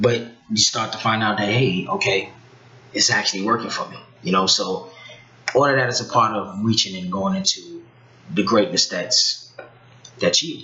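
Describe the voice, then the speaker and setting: There is noticeable background noise as a man speaks at a moderate pace with long, frequent pauses. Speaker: talk show guest. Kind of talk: casual chat. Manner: soft-spoken.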